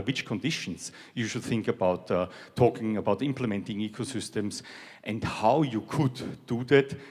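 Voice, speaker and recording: Using a European accent, a man talks at a moderate pace with a fairly low pitch and ordinary pitch variation. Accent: European accent, noticeable. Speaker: technology executive. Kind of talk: keynote speech.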